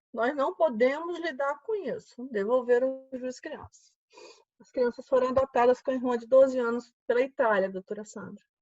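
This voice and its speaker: Her voice is high, with ordinary pitch variation and a moderate pace. This woman's loudness swings widely. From Alagoas, Brazil. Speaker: judge. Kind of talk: panel discussion. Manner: animated.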